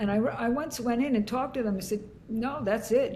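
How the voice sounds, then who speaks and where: Audible room echo surrounds a woman's somewhat breathy voice. Her pitch variation is ordinary. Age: 70s. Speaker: leadership and workforce consultant. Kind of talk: interview conversation.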